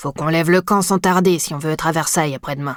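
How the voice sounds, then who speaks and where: A man puts on a character voice with a high pitch and fairly even intonation, racing at a very fast pace in a dry, close sound with no echo. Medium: read story. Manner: plain, colloquial speech.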